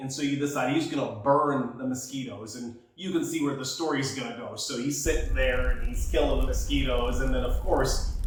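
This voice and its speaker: Speaking with an American accent at a fairly quick pace, the man leaves hardly any pauses, and there is noticeable background noise. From Jamaica. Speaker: fitness infomercial host and radio host. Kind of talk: casual storytelling podcast.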